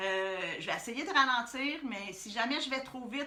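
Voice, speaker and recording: In a room with audible echo, a woman with a Quebec accent speaks at a moderate pace and a fairly high pitch. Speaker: art workshop instructor. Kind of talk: live-streamed tutorial. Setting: Facebook Live stream. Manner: hesitant with many fillers.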